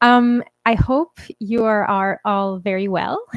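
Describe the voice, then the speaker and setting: Very slow speech from a woman, pitched fairly high. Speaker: pianist and composer streaming to supporters. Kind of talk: casual live stream chat. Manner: halting, many fillers. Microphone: new audio interface.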